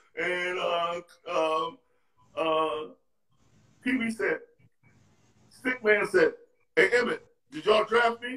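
Using a raised, projected voice, a man with a high pitch for a man talks at a very slow pace with long, frequent pauses and ordinary pitch variation. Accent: American. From New York City, Harlem. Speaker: retired basketball player. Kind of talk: interview storytelling. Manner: halting.

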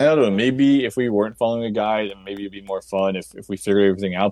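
A man speaks in a fairly low voice. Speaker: podcast co-host. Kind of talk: casual chat.

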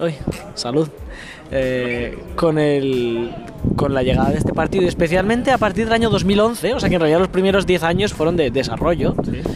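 With noticeable background noise behind him, a man talks at a moderate pace in a high pitch, with lively intonation and very even loudness. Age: 20s. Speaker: doctoral student. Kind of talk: casual interview.

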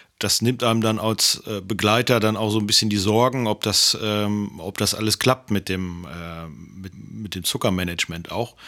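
A man's bright, sharp tone at a fairly low pitch, at a moderate pace with hardly any pauses, on a very clean recording with a silent background. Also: fairly even intonation. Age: 50s. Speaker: podcast co-host, partner of person with diabetes. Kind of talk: casual chat.

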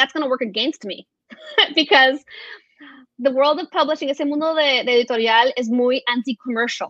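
A woman with a high pitch and ordinary pitch variation speaks at a fairly slow pace. She takes long, frequent pauses, and the sound is dry and close with no echo. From Venezuela and Florida. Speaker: entrepreneur, children's media executive. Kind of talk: interview.

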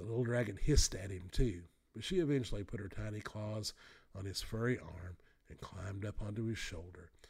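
Simply plain reading aloud

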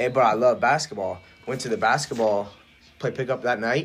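The speaker talks at a fairly quick pace in a Midwestern American accent, with fairly even intonation. Background noise is noticeable. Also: man. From rural Ohio. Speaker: powerlifter. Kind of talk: casual chat.

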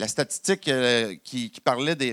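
Lively intonation comes through in a Quebec accent, with a dry, close sound and no echo. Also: man, very clean recording, silent background. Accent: Québécois French. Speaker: pastor. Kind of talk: sermon. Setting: church service in a college hall. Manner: halting, many repetitions and fillers.

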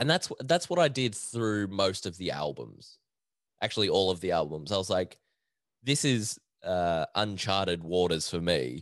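An Australian accent colors a man's very deep, low voice, with lively intonation at a moderate pace against a quiet background. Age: 20s. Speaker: podcast host. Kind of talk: casual solo chat. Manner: laughs often.

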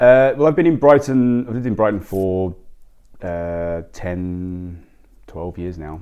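Speaking with an Australian accent, a man with a very deep, low pitch and a dark, mellow tone talks at a fairly slow pace, with lively intonation and big swings in loudness. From Australia, Sydney. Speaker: restaurant owner, former lawyer. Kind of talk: interview. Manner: halting, many fillers and repeats.

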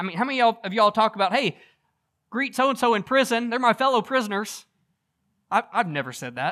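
A man with an American accent speaks at a very fast pace in a raised, projected voice, high in pitch with ordinary variation and a bright, sharp tone. Long, frequent pauses break up his speech on a very clean recording with a silent background. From US South. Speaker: pastor. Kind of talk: sermon.

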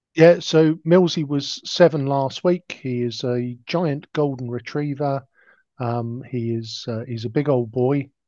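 In a southern English accent, a man speaks fairly slowly with a fairly high pitch, a dark, mellow tone and ordinary pitch variation. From southern England, Hampshire (Gosport). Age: 50s. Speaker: blind cricketer. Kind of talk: interview.

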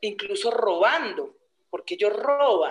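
Very slowly, a woman speaks in a fairly high voice with ordinary pitch variation. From Colombia, Huila department. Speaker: peasant social leader and rural teacher. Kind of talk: interview.

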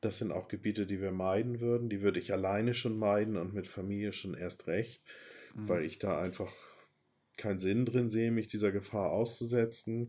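Delivery comes at a moderate pace with fairly even intonation. The recording is very clean, with a silent background. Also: man. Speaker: podcast host planning a sailing voyage with family. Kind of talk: casual chat.

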